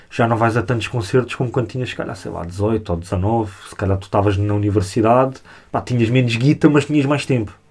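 Fairly quick, somewhat breathy speech with ordinary pitch variation on a very clean recording with a silent background. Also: man, medium pitch for a man. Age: 20s. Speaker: hip-hop media creator. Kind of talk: casual chat. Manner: halting.

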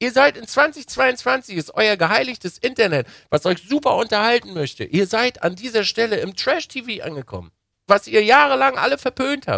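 Raised and projected, a man's extremely high voice has a bright, sharp, animated tone on a very clean recording with a silent background. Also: lively intonation, moderate pace. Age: 30s. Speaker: podcast co-host. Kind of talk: casual chat.

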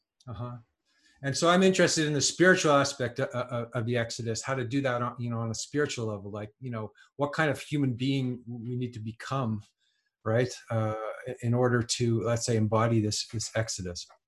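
A somewhat breathy man with a Canadian accent, medium pitch, ordinary pitch variation and a fairly quick pace, on a very clean recording with a silent background. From Canada. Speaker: writer and musician. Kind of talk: casual chat. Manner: halting, many repetitions.

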